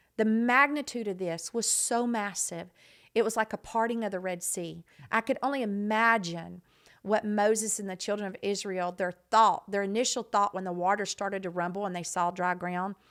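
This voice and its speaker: An animated woman with a Texas accent, medium pitch and moderate pace, on a very clean recording with a silent background. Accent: Texas Southern US. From Southeast Texas. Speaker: non-profit founder. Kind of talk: podcast interview, personal story.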